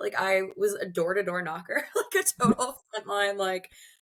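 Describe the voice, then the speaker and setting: With an American accent, a woman speaks at a fairly high pitch with ordinary pitch variation. Her tone is bright and sharp. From US Mid-Atlantic, Baltimore/Washington DC area. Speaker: arts fundraiser. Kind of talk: interview.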